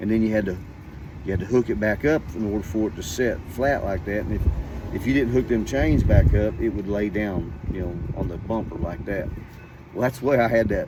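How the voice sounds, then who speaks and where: Speech in an American accent comes at a fairly quick pace with ordinary pitch variation. Audible room echo and noticeable background noise fill the recording. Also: man, fairly low pitch for a man. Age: 60s. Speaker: storyteller. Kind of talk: casual storytelling. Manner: animated.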